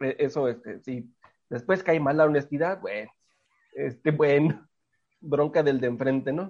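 A fairly high-pitched male voice at a fairly slow pace, with ordinary pitch variation and long, frequent pauses. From Tijuana, Mexico. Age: 30s. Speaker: communication professor and former folk singer. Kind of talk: casual interview chat.

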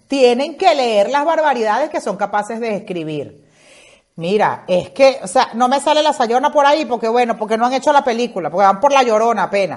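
A woman speaks in an animated tone at a fairly high pitch, with lively intonation and a moderate pace. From Venezuela (Zulia roots, born in Caracas). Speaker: podcast host. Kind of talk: casual comedic monologue.

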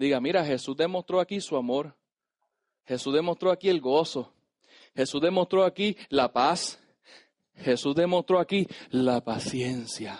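Against a quiet background, a man with a fairly high pitch and animated tone speaks at a fairly slow pace with long, frequent pauses and ordinary pitch variation, the sound dry and close with no echo. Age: 30s. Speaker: pastor. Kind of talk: sermon. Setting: church.

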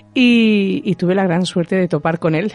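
A woman's plain, everyday voice, fairly low-pitched with ordinary pitch variation, in a dry, close recording with no echo. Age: 40s. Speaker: medium. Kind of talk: radio interview.

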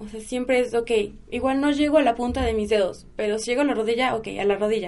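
This woman's tone is dark and mellow. Her pitch is high, with ordinary variation. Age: 20s. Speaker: kundalini yoga teacher. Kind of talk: casual interview chat.

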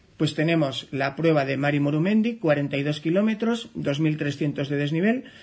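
Against a quiet background, a man with an unremarkable speaking voice talks at a fairly high pitch with ordinary pitch variation. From Navarre, Ribera area, Spain. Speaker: trail running journalist and radio host. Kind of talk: radio interview.

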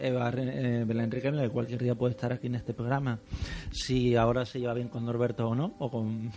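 Noticeable background noise sits behind a man speaking at a moderate pace. His pitch is medium and his intonation is monotone and flat. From Spain. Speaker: podcast host. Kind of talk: casual chat.

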